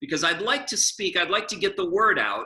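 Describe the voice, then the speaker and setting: With a raised, projected voice, a man talks in a bright, sharp tone and lively intonation. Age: 60s. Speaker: public speaker and author. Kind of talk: presentation and Q&A. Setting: video call.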